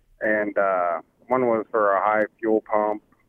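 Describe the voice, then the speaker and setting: A man speaks in a fairly low pitch. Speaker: caller. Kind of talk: casual call-in question. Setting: phone call.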